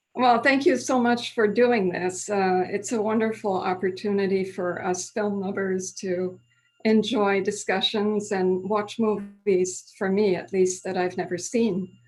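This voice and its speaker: A woman with an American accent speaks in a plain, everyday voice at medium pitch. She goes fairly slowly with fairly even intonation and hardly any pauses. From Switzerland, Lausanne (French-speaking), American parents. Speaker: retired French professor. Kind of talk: casual interview. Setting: video call.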